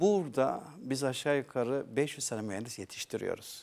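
Here a man speaks with lively intonation. His pace is moderate. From Turkey. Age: 60s. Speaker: aerospace executive and professor; professor. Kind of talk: TV talk show interview. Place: studio. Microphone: lapel.

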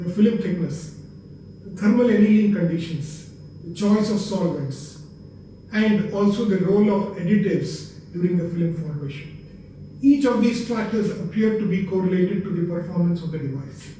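A man with a high pitch and ordinary pitch variation is heard with strong room echo and light background noise. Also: moderate pace. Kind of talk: research explanation. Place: office.

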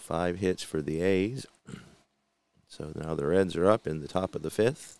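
A man's very deep, low pitch with ordinary pitch variation, a relaxed tone, big swings in loudness and a fairly slow pace, dry with no echo. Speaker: tabletop baseball game channel host. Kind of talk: solo gameplay commentary video. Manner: relaxed, hesitant with many fillers.

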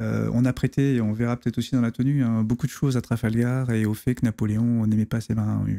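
A man talks at a fairly quick pace with hardly any pauses. His tone is dark and mellow, his intonation monotone and flat. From La Rochelle, western France; France. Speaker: navy officer and history author; guest. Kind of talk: interview conversation. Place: studio. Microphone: studio mic.

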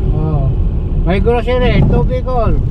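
A man talking at a very slow pace, dry with no echo, against loud background noise. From Cebu, Philippines. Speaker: taxi driver. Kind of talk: interview answer. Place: car. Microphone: phone near.

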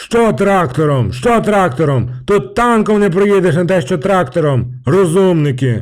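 A man puts on a character voice, high-pitched and swinging very widely in pitch. He keeps a moderate pace with hardly any pauses. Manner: swearing, angry.

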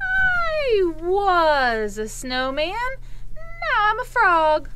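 A cartoonish character voice, female-sounding and extremely high in pitch, at a very slow pace over loud background noise. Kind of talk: children's puppet show.

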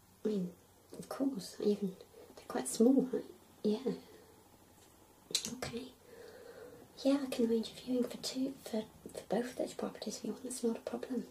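Soft-spoken and high-pitched, a woman talks with long, frequent pauses over light background noise. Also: moderate pace. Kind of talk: role-play phone call with a client. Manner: soft, hushed ASMR speaking voice. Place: home room.

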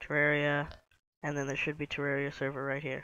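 A bright, sharp tone comes through against a quiet background. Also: man. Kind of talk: casual game tutorial narration. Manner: monotone.

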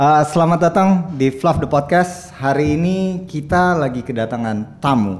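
This man talks at a fairly slow pace with hardly any pauses. His voice is fairly high and his intonation is lively. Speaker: podcast host. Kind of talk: casual chat. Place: studio. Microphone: studio mic.

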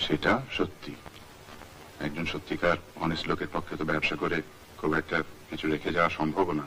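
Against light background noise, a man speaks in a very deep, low pitch with monotone, flat intonation. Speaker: film director. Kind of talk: film dialogue dub. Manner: natural, own normal voice. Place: studio. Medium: dub.

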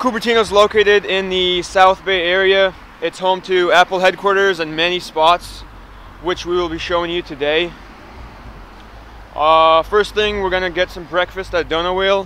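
A high-pitched man in a monotone, flat intonation, dry sound with no echo and light background noise. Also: moderate pace. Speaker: filmer hosting a city tour. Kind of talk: casual vlog chat. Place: street. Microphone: phone near.

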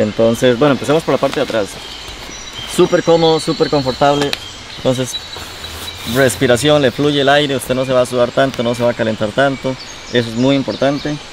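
A man talks at a fairly quick pace with fairly even intonation. Faint background noise can be heard. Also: medium pitch for a man.

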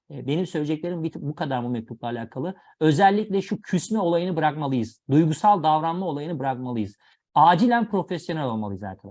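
Against a quiet background, a man talks at a fairly quick pace in a fairly high pitch with very wide pitch swings. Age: 30s. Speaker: educational video presenter. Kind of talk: lecture.

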